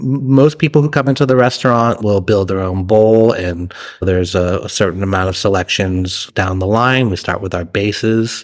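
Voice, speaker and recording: A man with an American accent and an ordinary speaking voice, fairly low in pitch, with ordinary pitch variation, a moderate pace and hardly any pauses. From Massachusetts. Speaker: chef and restaurant owner. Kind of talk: interview.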